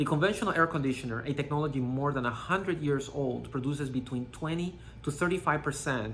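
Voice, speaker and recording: Speaking fairly quickly in a Panamanian accent, a man uses a fairly high pitch with ordinary pitch variation. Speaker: company CEO. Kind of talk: scripted presentation. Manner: formal.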